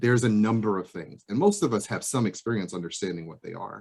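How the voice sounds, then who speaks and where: Speaking at a very fast pace, a man uses a fairly low pitch. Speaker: psychologist presenter. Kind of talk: presentation. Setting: video call.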